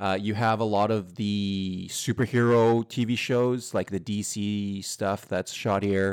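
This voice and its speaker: A man with a western Canadian accent speaks at a fairly slow pace and a fairly low pitch, with hardly any pauses. His intonation is flat and monotone, in a very clean recording with a silent background. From Edmonton, Alberta, Canada. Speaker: podcast guest. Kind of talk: casual chat.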